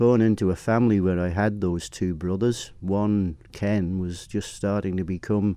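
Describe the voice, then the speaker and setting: A man with a Manx accent, very deep and low in pitch, with a dark, mellow tone, fairly even intonation and a moderate pace over a quiet background. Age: 70s. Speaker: motorcycle racing commentator. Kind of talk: interview. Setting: studio.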